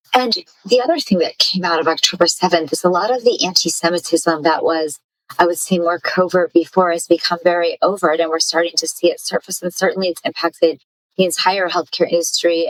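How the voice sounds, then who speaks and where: A woman with a normal speaking voice talks fairly quickly at a fairly low pitch, with fairly even intonation and a dry, close sound with no echo. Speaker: podcast host. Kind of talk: podcast interview questions.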